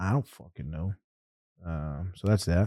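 A man speaks with a very deep, low pitch and a dark, mellow tone. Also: very clean recording, silent background. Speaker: podcast host. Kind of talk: casual banter. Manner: laughs a lot, joking.

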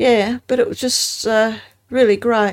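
In an Australian accent, a woman talks at a moderate pace with a fairly high pitch and fairly even intonation. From South Australia, Adelaide Hills. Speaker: former newspaper worker. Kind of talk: interview. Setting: studio.

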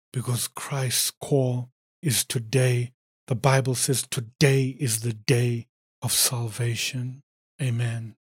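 This man's voice is somewhat breathy, with monotone, flat intonation. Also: dry, close sound with no echo. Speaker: preacher. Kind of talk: sermon. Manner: fervent, exhorting, pleading with listeners; emphatic, punchy, declaiming in short rhythmic phrases.

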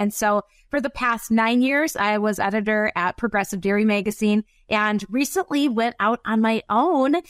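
With an Upper Midwest accent, a woman at a fairly high pitch is heard in a very clean, dry, close recording with a silent background and no echo. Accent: Upper Midwest American. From US Midwest. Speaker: agricultural communicator and podcast host. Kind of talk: casual interview conversation.

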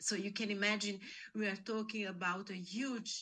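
A woman with an Italian accent speaks very slowly at medium pitch. Her tone is bright and sharp. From Italy. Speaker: investigative journalist. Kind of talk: interview. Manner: halting.

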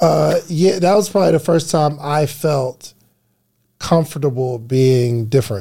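Speaking at a fairly slow pace, a man with an American accent has a dark, mellow, somewhat breathy tone. His pitch is fairly high, with ordinary variation. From New Jersey. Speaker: podcast guest. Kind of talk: casual chat.

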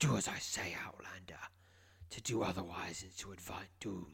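A man whispers in a put-on character voice with a raspy edge. He goes at a moderate pace. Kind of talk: stiff, formal. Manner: commanding, ominous.

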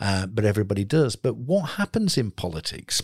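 A somewhat breathy man is heard on a very clean recording with a silent background, the sound dry and close with no echo. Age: 50s. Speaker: emergency medicine doctor and podcast host. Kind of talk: casual interview.

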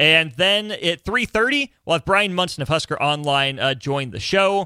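In a very clean recording over a silent background, a man speaks in a fairly high pitch with lively intonation. His tone is bright and sharp, in a dry, close sound with no echo. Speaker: radio host. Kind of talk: casual chat. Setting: studio.

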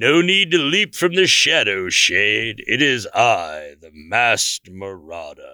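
A man speaks at medium pitch with very wide pitch swings. The recording is very clean, with a silent background. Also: fairly slow pace, big swings in loudness. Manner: grandiose, theatrical.

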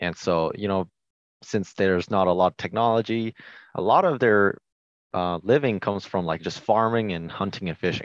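With an American accent and an unremarkable speaking voice, a man talks at a moderate pace and fairly low pitch, using ordinary pitch variation in a dry, close sound with no echo over a quiet background. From Washington State, US. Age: 20s. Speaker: hunting YouTube creator. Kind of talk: casual interview chat.

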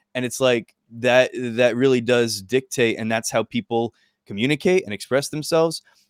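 A man's medium-pitched voice with ordinary pitch variation, dry and close with no echo, in a very clean recording with a silent background. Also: moderate pace. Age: 30s. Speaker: podcast host. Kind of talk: casual chat; podcast intro. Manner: animated.

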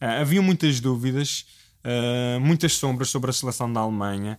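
With a European Portuguese accent, a man speaks at a moderate pace. His pitch sits in the medium range, with ordinary variation. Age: 20s. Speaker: football fan guest. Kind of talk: casual chat. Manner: halting.

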